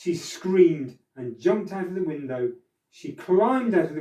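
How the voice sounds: Behind a natural reading voice, the background is quiet.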